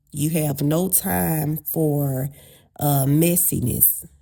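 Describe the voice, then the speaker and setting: Very slow and somewhat breathy, a woman's voice has a dark, mellow tone and a very deep, low pitch, yet her intonation stays lively. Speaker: relationship advice vlogger. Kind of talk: motivational talk.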